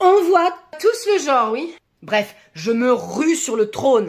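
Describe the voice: In a put-on character voice, a woman speaks slowly at a high pitch with big pitch swings.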